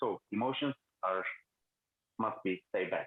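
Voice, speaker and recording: A man's medium-pitched and plain, everyday voice, moderate in pace and ordinary in pitch variation. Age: 20s. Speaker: debater. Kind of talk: debate. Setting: phone call. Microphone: phone with headphones, low volume.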